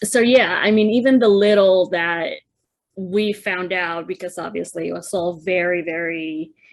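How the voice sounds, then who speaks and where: The speaker has a Spanish accent. The pace is moderate, with ordinary pitch variation. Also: woman, medium pitch for a woman. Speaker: podcast co-host. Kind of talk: casual chat.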